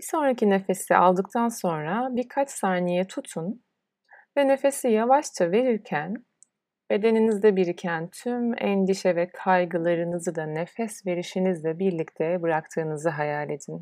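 A woman's medium-pitched voice, dark and mellow, calm and soothing in tone, with lively intonation at a fairly slow pace, on a very clean recording with a silent background. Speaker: yoga teacher. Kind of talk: guided meditation. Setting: solo recording. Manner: slow, calm, soothing; soft-spoken, with long pauses.

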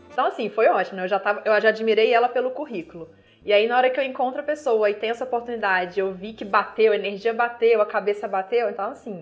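Talking at a very fast pace with hardly any pauses, a woman speaks at a fairly high pitch. Her pitch variation is ordinary. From Minas Gerais, Brazil (Viçosa). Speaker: beer sommelier. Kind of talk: casual interview.

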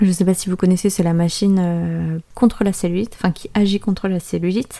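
A woman speaks at a fairly quick pace with a dark, mellow tone. Her pitch is medium and her intonation fairly even. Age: 20s. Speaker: eyelash extension technician. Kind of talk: casual solo podcast monologue. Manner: hesitant, many fillers.

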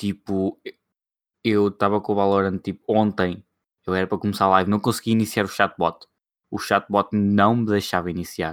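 The recording is very clean, with a silent background and a dry, close sound with no echo. A man talks at a fairly low pitch in a flat monotone, with long, frequent pauses. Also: moderate pace. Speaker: podcast co-host. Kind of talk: casual chat.

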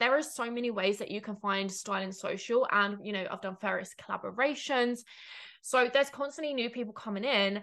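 Fairly quick and animated, a woman speaks with a bright, sharp tone at a fairly high pitch, ordinary pitch variation, and a quiet background. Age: 20s. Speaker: business coach and podcast host. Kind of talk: solo podcast monologue.

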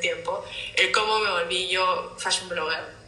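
A woman talks at a fairly slow pace. Noticeable background noise and audible room echo surround her voice. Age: 30s. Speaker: fashion designer and content creator. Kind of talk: casual interview chat. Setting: video call live stream, away from home city.

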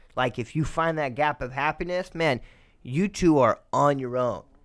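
A man's voice at a moderate pace with ordinary pitch variation, on a very clean recording with a silent background. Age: 20s. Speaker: podcast guest. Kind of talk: casual chat. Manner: animated.

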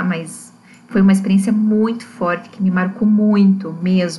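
Background noise is noticeable behind a woman at medium pitch. Her intonation stays fairly even. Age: 30s. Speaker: astrologer and spirituality researcher. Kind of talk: personal testimony.

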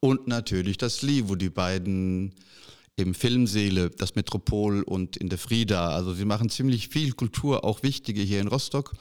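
A plain, everyday voice moves at a moderate pace with ordinary pitch variation on a very clean recording over a silent background. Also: man, fairly low pitch for a man. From western Germany. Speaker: podcast host. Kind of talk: casual interview.

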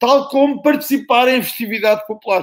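A man speaks with a European Portuguese accent. His pace is moderate and his pitch varies an ordinary amount. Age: old. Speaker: professor. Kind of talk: panel discussion.

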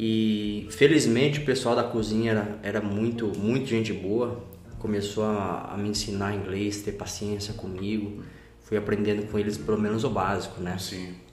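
Audible room echo surrounds a man speaking at a moderate pace. His fairly low voice has fairly even intonation. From São Paulo state interior, Brazil. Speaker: jiu-jitsu student. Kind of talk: casual interview.

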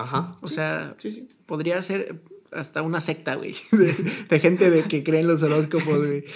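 In an animated tone, a man speaks at a fairly slow pace. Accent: Mexican. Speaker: podcast co-host. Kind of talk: casual chat. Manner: animated, laughing often.

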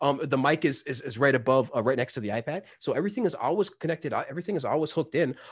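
Somewhat breathy and fairly high-pitched, a man speaks very fast with hardly any pauses and ordinary pitch variation. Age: 30s. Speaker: music app content creator. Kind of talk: casual chat.

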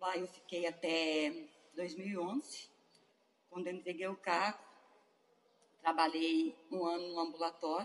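At a very slow pace with long, frequent pauses, a woman talks at a fairly low pitch with fairly even intonation. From Betim, Minas Gerais, Brazil. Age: 50s. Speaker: hospital worker, daughter of patients. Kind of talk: oral history interview. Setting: museum in the colony.

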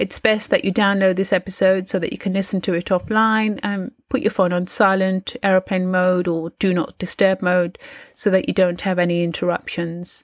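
A woman's unremarkable speaking voice at a medium pitch, with fairly even intonation, a moderate pace and hardly any pauses, in a very clean recording with a silent background and a dry, close sound with no echo. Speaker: mindset coach and meditation teacher. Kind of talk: guided meditation. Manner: warm, encouraging.

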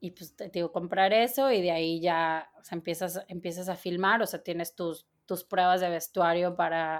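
In a very clean recording with a silent background, a woman with an unremarkable speaking voice talks at a moderate pace and fairly low pitch, with fairly even intonation and big swings in loudness. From Mexico, Torreón, Coahuila. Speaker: costume designer. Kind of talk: interview.

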